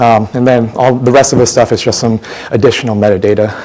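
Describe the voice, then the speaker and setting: Fairly even intonation at a very fast pace, with noticeable background noise behind it. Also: man. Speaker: software conference speaker. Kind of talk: lightning talk presentation.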